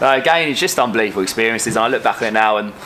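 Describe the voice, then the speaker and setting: Medium pitch from a man, noticeable noise in the background. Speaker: footballer, goalkeeper. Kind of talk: interview.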